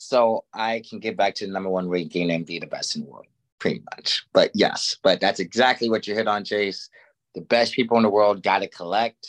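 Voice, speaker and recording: Recorded dry and close with no echo against a quiet background, the speaker moves at a fairly quick pace with big swings in loudness. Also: man. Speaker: podcast host and former fighter. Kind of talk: casual sports podcast chat.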